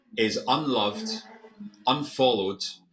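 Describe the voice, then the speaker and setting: In a British accent, the speaker's bright, sharp tone moves through very wide pitch swings. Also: man. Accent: UK. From Scotland. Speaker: former hedge fund manager, investing educator. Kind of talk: interview. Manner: halting, frequent repetitions.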